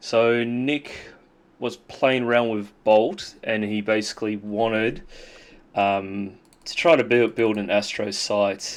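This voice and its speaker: A man speaks very slowly in an Australian accent. His voice is fairly low and his intonation fairly even. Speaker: software developer. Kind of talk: tutorial. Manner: halting, many fillers; casual.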